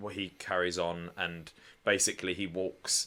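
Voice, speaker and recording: A man's very deep, low voice with a bright, sharp tone, monotone, flat intonation and a British accent, on a very clean recording with a silent background. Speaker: podcast co-host. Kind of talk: casual chat. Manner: loud.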